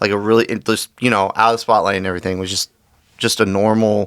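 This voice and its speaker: A loud, bright, sharp male voice at a fairly low pitch with monotone, flat intonation. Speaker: podcast host. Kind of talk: casual chat. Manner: halting, repeats words.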